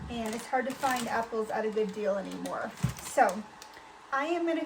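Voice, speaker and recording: There is noticeable background noise. The pace is moderate. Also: woman. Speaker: homesteading and canning vlogger. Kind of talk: casual cooking tutorial. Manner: halting, many fillers.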